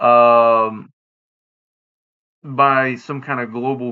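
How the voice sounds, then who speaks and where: Using fairly even intonation, a man with a Southern US accent speaks at medium pitch. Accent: Southern US, drops final g, slurred. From US South. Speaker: podcast host. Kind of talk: casual monologue podcast. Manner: halting, many fillers; slurred diction.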